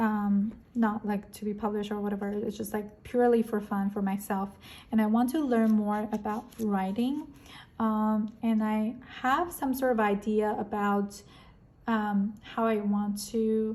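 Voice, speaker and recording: Speaking at a fairly slow pace, a woman uses a fairly high, somewhat breathy voice with fairly even intonation. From Korea or China, moved to America at 13. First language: Korean and Chinese. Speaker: planner and stationery YouTuber. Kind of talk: casual vlog chat. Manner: many fillers and self-corrections.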